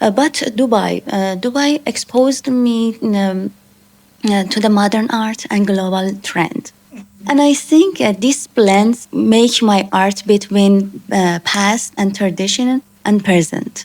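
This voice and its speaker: Using ordinary pitch variation, a woman at a medium pitch speaks at a very slow pace. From Iran. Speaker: artist. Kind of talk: interview. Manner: halting, many fillers.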